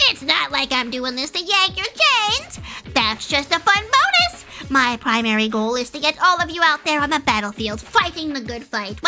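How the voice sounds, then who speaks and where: A woman performs a put-on character voice at a moderate pace. Clear background noise runs underneath. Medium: virtual streamer. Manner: taunting, gleeful, crude.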